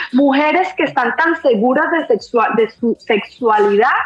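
A woman speaks with a high pitch. Noticeable background noise runs under her voice. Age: 40s. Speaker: guest on sex-talk podcast. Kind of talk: casual chat. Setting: online live stream.

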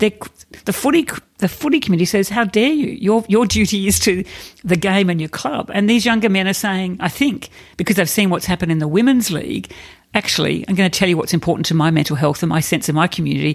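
A woman speaks with an Australian accent at a very fast pace. Her pitch is medium. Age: 50s. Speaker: corporate and non-profit leader. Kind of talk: interview.

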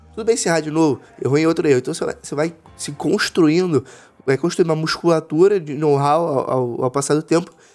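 Over music in the background, a man speaks at a fairly quick pace with a fairly high pitch and ordinary pitch variation. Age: 20s. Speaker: startup founder and investor. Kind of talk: casual interview. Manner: halting with repeated filler words.

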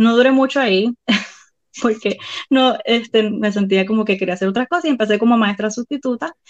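A woman with a fairly high pitch speaks at a fairly quick pace in a dry, close sound with no echo. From Puerto Rico. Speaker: violinist and mother. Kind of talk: casual interview.

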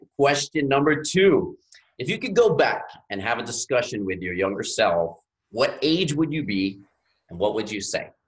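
In an American accent, a man with fairly high pitch and vocal fry talks at a moderate pace, his pitch swinging very widely. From US South, Louisiana Gulf Coast. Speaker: podcast host. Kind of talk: interview.

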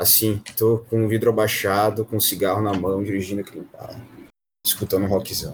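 A man speaks at a fairly quick pace and a fairly low pitch. His voice is somewhat breathy, with big swings in loudness. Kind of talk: casual chat. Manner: animated.

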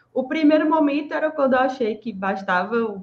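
A woman with a strong Bahian accent speaks at a moderate pace with lively intonation. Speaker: podcast co-host, exam-prep mentor. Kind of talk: casual chat.

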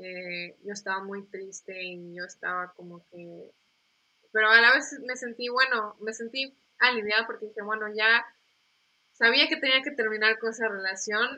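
At a fairly slow pace, a woman talks in a fairly high voice with ordinary pitch variation and big swings in loudness. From Mexico, Yucatán (Mérida); born in US, moved at 11. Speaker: pastors' daughter, church member. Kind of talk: casual faith chat and testimony. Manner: halting, repeats words.

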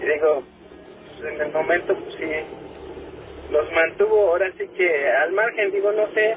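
Very slowly, a man talks as noticeable background noise carries on behind his words. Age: 30s. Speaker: caller. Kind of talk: storytelling. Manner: halting.

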